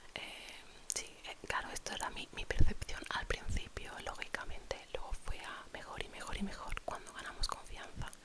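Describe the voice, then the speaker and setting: Whispering at a fairly slow pace, a woman keeps a relaxed tone over noticeable background noise. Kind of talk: ASMR storytime, whispered personal anecdote to camera. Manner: soft, relaxed, chatty.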